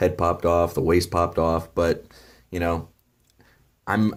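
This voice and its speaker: A man speaks quietly in a very deep, low pitch on a very clean recording with a silent background. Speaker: toy reviewer. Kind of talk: product review. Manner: quiet, low energy; hesitant, many fillers.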